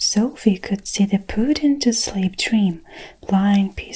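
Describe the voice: Ordinary pitch variation in plain reading aloud.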